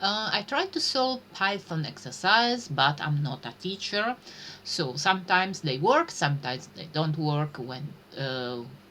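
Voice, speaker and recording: A woman's fairly low voice with an Italian accent, fairly slow, with very wide pitch swings. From Italy. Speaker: streamer learning programming. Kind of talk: live stream chat. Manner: halting, many fillers.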